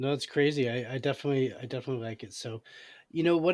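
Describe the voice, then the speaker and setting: With an unremarkable speaking voice, a man talks at a medium pitch and with ordinary pitch variation. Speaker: podcast host. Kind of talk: casual interview question.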